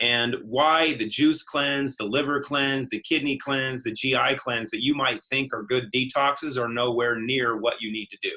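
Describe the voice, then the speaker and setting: A man with an ordinary speaking voice, medium pitch and fairly even intonation, at a moderate pace with hardly any pauses. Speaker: company founder giving a health lecture. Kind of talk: lecture.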